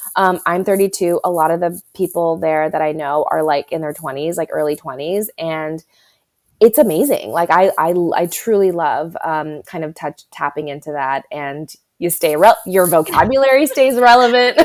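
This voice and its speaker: With an American accent, a woman speaks at a moderate pace, her fairly low voice carrying lively intonation. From California. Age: 30s. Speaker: writer. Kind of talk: casual chat.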